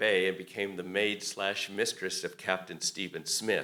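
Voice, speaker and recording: A man's bright, sharp-toned voice. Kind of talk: public address.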